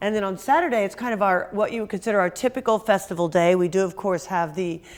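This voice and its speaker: In a very clean recording with a silent background, the speaker goes at a very fast pace with ordinary pitch variation. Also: woman, medium pitch for a woman. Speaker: museum executive director. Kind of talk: interview.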